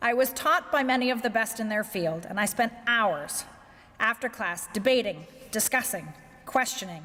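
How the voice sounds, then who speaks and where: Her pitch fairly high and her tone bright and sharp, a woman talks at a moderate pace with lively intonation. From Canada, Victoria, British Columbia. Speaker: corporate executive. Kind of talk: keynote speech. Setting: banquet with audience.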